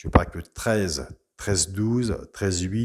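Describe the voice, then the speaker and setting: A man talks at a very slow pace with a fairly low pitch. His pitch varies in an ordinary way. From Brittany, France. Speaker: horse racing tipster. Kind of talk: tips video monologue. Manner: casual, chatty.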